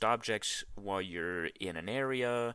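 On a very clean recording with a silent background, a man with a bright, sharp tone speaks at a fairly slow pace with ordinary pitch variation. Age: 20s. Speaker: gaming podcast co-host. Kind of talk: casual chat.

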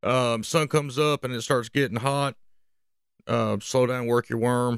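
A man with a Southern US accent talks at a fairly slow pace in a medium pitch. The recording is very clean, with a silent background. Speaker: fishing podcast host. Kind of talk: casual podcast monologue, fishing report. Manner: casual, many filler words.

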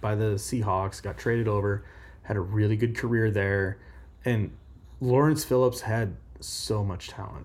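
A man with an American accent speaks in a somewhat breathy, fairly low voice at a moderate pace, his intonation fairly even. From Omaha, Nebraska. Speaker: college football podcast co-host. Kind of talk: casual chat.

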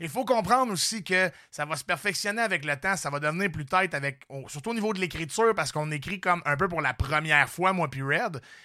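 In a very clean recording with a silent background, a man with a Quebec accent talks at a fairly quick pace with hardly any pauses, his high, bright, sharp voice animated in tone and lively in intonation. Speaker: comedian and podcast host. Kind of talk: casual chat.

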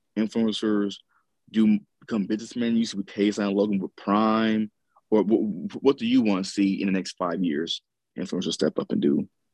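A man's fairly low voice, an ordinary speaking voice, at a moderate pace with ordinary pitch variation and a dry, close sound with no echo. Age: 30s. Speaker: podcast co-host. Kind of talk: casual chat.

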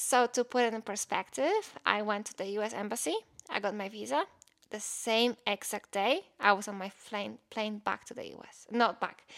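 In a Polish accent, a woman speaks at a moderate pace. The sound is dry and close, with no echo. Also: fairly high pitch for a woman, ordinary pitch variation, big swings in loudness. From Poland. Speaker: podcast co-host, former college bowler. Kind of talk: casual chat.

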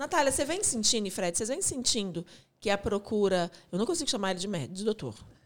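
A woman's very fast speech with lively intonation. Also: fairly high pitch for a woman. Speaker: podcast co-host. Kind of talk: casual chat.

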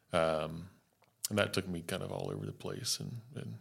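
Vocal fry runs through this man's speech. He goes at a moderate pace with ordinary pitch variation. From US South (North Carolina, West Virginia). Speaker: wildlife biologist. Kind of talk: casual interview.

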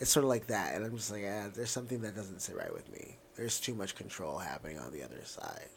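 A man talks at a very fast pace with hardly any pauses, his pitch fairly low. Room echo is audible around his voice. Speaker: drag queen podcast co-host. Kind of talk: casual chat. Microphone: new microphone.

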